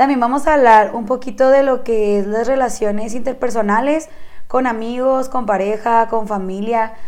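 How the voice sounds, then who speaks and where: The room echo is audible. A woman speaks at a moderate pace with fairly even intonation. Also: fairly high pitch for a woman. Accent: northern Mexican. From Chihuahua, northern Mexico. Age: 20s. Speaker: podcast co-host. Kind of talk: casual chat.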